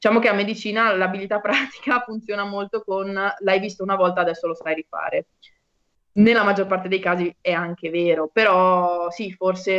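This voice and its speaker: A woman talks in a plain, everyday voice at medium pitch and a fairly quick pace, with fairly even intonation and a dry, close sound free of echo. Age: 20s. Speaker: medical student. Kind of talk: casual chat.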